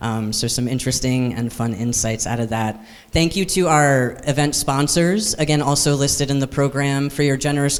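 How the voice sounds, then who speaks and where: Noticeable background noise and audible room echo surround a voice with fairly even intonation. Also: man. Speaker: director of a labor advocacy group, conference host. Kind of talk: conference opening remarks. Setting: conference hall with live audience. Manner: fast.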